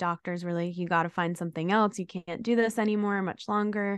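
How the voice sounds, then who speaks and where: In a plain, everyday voice, a woman with an American accent speaks at a medium pitch. Her intonation stays fairly even over a quiet background. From New York City. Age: 20s. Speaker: content creator and chronic illness advocate. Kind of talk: podcast interview.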